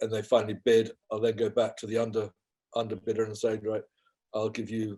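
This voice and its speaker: A man speaks at medium pitch in a dark, mellow tone, somewhat breathy and with monotone, flat intonation. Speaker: auctioneer. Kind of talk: interview answer.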